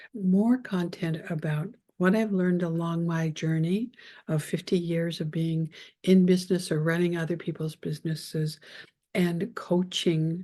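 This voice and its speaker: A woman's somewhat breathy voice, dark and mellow in tone, fairly low in pitch, with fairly even intonation. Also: quiet background. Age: 60s. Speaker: podcast host and business coach. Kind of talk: solo podcast monologue.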